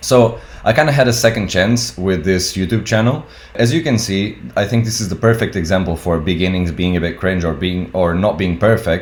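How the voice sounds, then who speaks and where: A man's fairly low voice, fairly quick and with lively intonation, over noticeable background noise. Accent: non-native. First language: not English. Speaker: tattoo artist and YouTuber. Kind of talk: casual talk-to-camera advice video. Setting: home recording on webcam.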